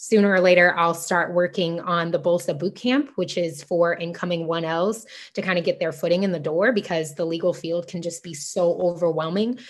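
With an ordinary speaking voice, a woman talks at a moderate pace, her fairly low pitch held in fairly even intonation. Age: 20s. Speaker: law student. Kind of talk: interview.

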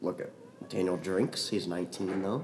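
A man speaks at a moderate speed. Behind him, noticeable background noise can be heard. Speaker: podcast guest. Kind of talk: casual chat. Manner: animated.

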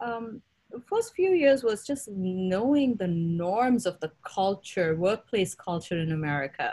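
Her words come out fairly slowly. The woman's voice carries a somewhat breathy quality. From India. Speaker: tech executive. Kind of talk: interview.

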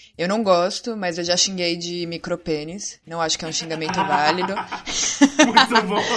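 A woman with a fairly low voice talks at a fairly slow pace with hardly any pauses and ordinary pitch variation, over noticeable background noise. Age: 20s. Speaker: gamer. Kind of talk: casual chat.

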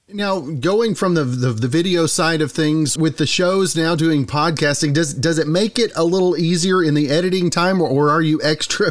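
A man with a normal speaking voice, fairly high in pitch, talks at a moderate pace with hardly any pauses, ordinary pitch variation and very even loudness. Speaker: podcast host. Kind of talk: interview.

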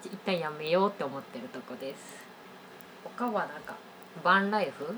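Amid noticeable background noise and audible room echo, a woman speaks at a moderate pace with lively intonation, big swings in loudness, and long, frequent pauses. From Osaka, Japan. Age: 20s. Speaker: freelance IT engineer and podcast co-host. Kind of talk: casual chat.

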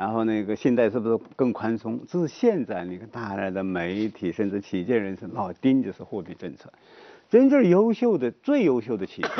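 In an unremarkable speaking voice at a moderate pace, the speaker uses ordinary pitch variation while the loudness swings a lot. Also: man, medium pitch for a man. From rural China. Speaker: economics professor. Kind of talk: talk show discussion.

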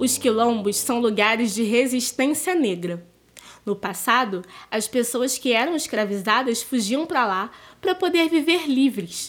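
A woman's high-pitched voice at a fairly slow pace, with lively intonation. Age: young. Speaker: storyteller and museum educator. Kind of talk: storytelling for children. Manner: chatty.

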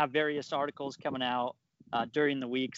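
Speaking in a normal speaking voice, a man keeps a medium pitch and fairly even intonation. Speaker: sports writer and Chiefs fan. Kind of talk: interview, sports analysis.

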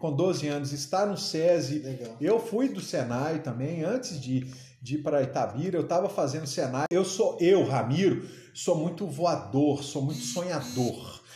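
A fairly high-pitched man, animated and with lively intonation, at a fairly slow pace, amid audible room echo and noticeable background noise. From Minas Gerais, Brazil (Uberaba, Triângulo Mineiro). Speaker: aquarium shop owner and entrepreneur. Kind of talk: casual interview chat. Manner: animated, with frequent repetitions and fillers.

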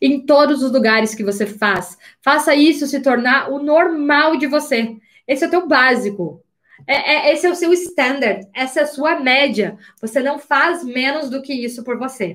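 A woman speaks in an animated tone at a high pitch. Her intonation is lively, and her pace is fairly slow. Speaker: life coach. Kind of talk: live online class. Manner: uneven loudness, sometimes loud.

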